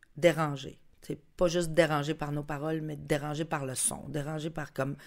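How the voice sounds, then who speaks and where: A woman's very deep, low voice at a moderate pace on a very clean recording with a silent background. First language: Spanish (speaking French). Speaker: musician. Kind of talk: casual chat.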